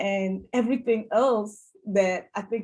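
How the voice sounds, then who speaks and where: A woman speaks at medium pitch with a dark, mellow tone. Her voice is somewhat breathy, and her intonation stays fairly even. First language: not English (English is her third language). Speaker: cybersecurity professional, panelist. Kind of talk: webinar panel discussion.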